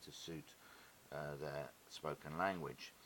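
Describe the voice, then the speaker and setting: Monotone and flat, a man speaks with a very deep, low pitch. His pace is fairly slow. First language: Greek. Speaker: independent dyslexia researcher. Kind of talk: illustrated lecture. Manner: hesitant, frequent uh fillers.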